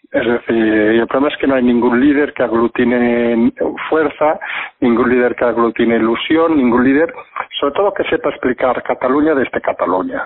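A man with a medium pitch talks at a moderate pace, with ordinary pitch variation and very even loudness. Noticeable background noise runs underneath. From Catalonia, Spain (Barcelona). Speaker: political commentator. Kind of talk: casual political discussion. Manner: halting, with repetitions.

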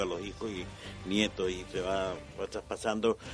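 The man's intonation stays monotone and flat. He keeps a moderate pace. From Chile, La Serena (Coquimbo region). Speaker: street organ grinder. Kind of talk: radio interview. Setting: radio studio. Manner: halting, many fillers.

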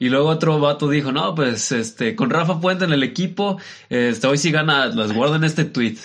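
Speaking with a Mexican accent, a man uses a fairly high pitch, lively intonation and very even loudness at a moderate pace. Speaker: podcast co-host. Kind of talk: casual chat.

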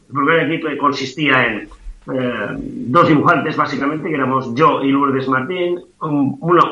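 Amid noticeable background noise and audible room echo, a man with a fairly high pitch and ordinary pitch variation talks at a fairly slow pace. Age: 60s. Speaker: comic artist. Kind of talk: interview.

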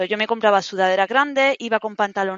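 A woman is talking. Her voice is fairly high. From Spain, Granada (Andalusia). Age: 30s. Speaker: fitness program client. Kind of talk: interview, personal testimony. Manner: halting, repetitive fillers.

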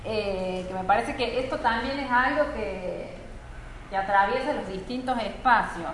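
A woman speaks with a fairly high pitch and ordinary pitch variation at a fairly slow pace. Noticeable background noise can be heard. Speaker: academic researcher and panel moderator. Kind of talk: moderated panel discussion. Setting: live event with audience.

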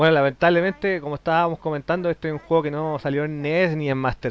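With a Chilean accent, a man speaks in a fairly high pitch. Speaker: podcast host. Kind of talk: casual chat. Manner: animated.

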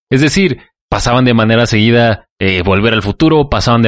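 Here is a man with an unremarkable speaking voice. He keeps a moderate pace and ordinary pitch variation. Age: 20s. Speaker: podcast guest. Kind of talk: casual chat.

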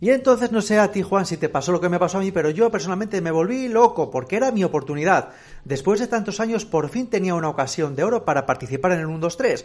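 A man talks at a very fast pace with hardly any pauses. His pitch is high and his intonation lively. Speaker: podcast host. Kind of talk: casual interview chat.

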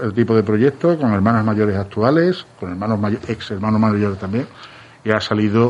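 An ordinary speaking voice from a man at medium pitch, fairly quick, with ordinary pitch variation. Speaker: candidate for brotherhood council president. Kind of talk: radio interview.

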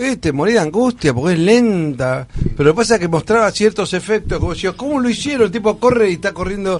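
A man with a Rioplatense accent talks very fast in a high voice with lively intonation over noticeable background noise. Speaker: radio host. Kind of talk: casual chat.

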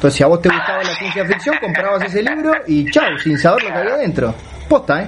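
Talking very fast, a man uses a high pitch with very wide pitch swings. Background noise is noticeable. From Uruguay. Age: 40s. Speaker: writer and podcast co-host. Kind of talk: casual chat. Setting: WhatsApp call from home. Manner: pauses to catch breath.

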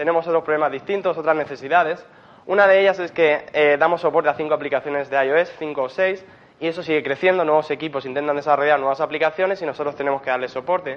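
Pitched fairly high with ordinary pitch variation, a man rattles along at a very fast pace. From Spain, Murcia. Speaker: software engineer. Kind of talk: conference talk. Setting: stage with audience. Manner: hesitant, many fillers.

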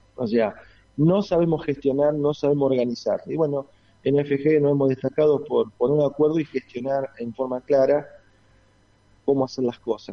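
Fairly high in pitch, a man talks in a normal speaking voice. He keeps a moderate pace and fairly even intonation. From Argentina, rural Santa Fe province. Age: 40s. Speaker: engineering company executive. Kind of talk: radio interview.

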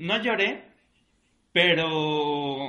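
A man speaks at a very slow pace in a high pitch with ordinary pitch variation. Audible room echo fills the recording. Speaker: podcast co-host. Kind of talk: casual chat.

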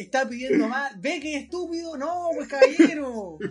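A man's fairly slow speech, with ordinary pitch variation, competes with noticeable background noise. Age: 20s. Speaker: podcast host. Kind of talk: casual chat.

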